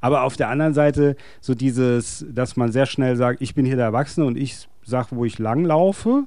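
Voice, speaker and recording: The tone is dark and mellow. Delivery comes at a fairly quick pace. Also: man. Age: 50s. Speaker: podcast host. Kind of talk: casual chat.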